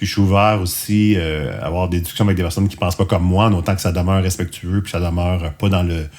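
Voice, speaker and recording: Very fast, flat, monotone speech in a Quebec accent. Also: man, very deep, low pitch for a man, hardly any pauses. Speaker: podcast host. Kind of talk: casual podcast outro monologue. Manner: hesitant, many fillers.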